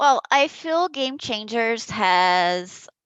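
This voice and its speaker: A woman with a fairly high pitch speaks with a Brazilian Portuguese accent. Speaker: esports player. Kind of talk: press conference answer. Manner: halting.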